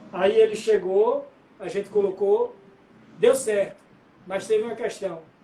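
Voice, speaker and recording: A high-pitched man talks while noticeable background noise carries on behind him. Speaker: musician. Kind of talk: interview.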